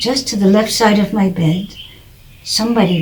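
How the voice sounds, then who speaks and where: Through noticeable background noise, a woman speaks with an American accent. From United States. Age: 80s+. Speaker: author of religion textbooks. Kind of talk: personal testimony.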